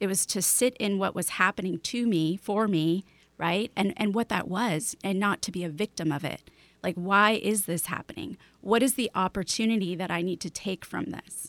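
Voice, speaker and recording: A woman with an American accent talks in a plain, everyday voice at medium pitch and a moderate pace. Her pitch varies in an ordinary way, and the sound is dry and close with no echo. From Chicago. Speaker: esthetician, hypnotherapist and medium. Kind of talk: interview conversation. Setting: Skype call.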